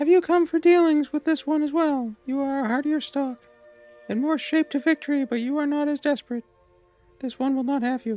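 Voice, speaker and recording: Someone speaks fairly quickly in a high-pitched, put-on character voice. Faint music plays in the background. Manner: haughty.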